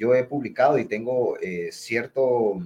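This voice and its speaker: This man speaks at a medium pitch, and his intonation is lively. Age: 20s. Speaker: political candidate. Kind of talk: interview. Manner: halting, many filler sounds.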